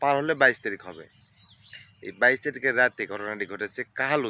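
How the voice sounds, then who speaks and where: A man with a medium-pitched voice speaks in a bright, sharp tone with ordinary pitch variation, recorded dry and close with no echo. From Bangladesh, Bogura (Shibganj). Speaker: local news video creator. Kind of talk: news commentary monologue. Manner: animated.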